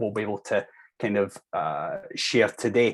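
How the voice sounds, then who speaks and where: A man talks in a Scottish accent. His pace is moderate and his intonation fairly even. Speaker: linguistics researcher. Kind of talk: academic presentation.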